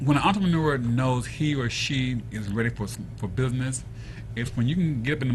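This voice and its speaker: Amid noticeable background noise and audible room echo, a man with a medium pitch talks at a fairly quick pace with lively intonation. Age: 60s. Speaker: entrepreneur. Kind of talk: talk show interview.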